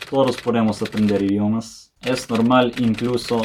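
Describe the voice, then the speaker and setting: Someone speaks very slowly in a Serbian accent, with noticeable background noise. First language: Serbian (speaking Spanish). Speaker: language learning youtuber. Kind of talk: casual educational talk to camera.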